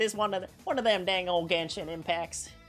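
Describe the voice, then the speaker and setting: A put-on character voice, female-sounding, at a fairly quick pace over clear background noise. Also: medium pitch for a woman. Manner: folksy, exaggerated.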